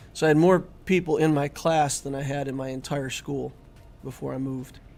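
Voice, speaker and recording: Speaking with a Midwestern American accent, a man uses a fairly high pitch and fairly even intonation. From US Midwest (South Dakota, then Indiana). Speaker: gaming streamer. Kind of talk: live stream chat. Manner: casual, conversational.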